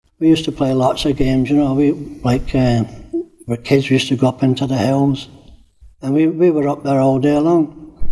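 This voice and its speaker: Fairly high in pitch yet dark and mellow in tone, a man's voice moves at a fairly quick pace with monotone, flat intonation. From Scottish Highlands until age 10, then Corby, England. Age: 70s. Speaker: older resident telling life story. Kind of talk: personal reminiscence interview. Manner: hesitant, with many fillers.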